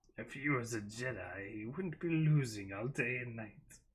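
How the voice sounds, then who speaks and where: This man puts on a character voice at medium pitch. He keeps a moderate pace with lively intonation. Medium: read story. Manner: sneering, impatient.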